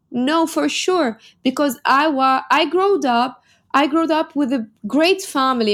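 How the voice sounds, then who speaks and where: On a very clean recording with a silent background, a woman speaks with an Arabic accent. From Lebanon. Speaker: model and entrepreneur. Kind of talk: interview.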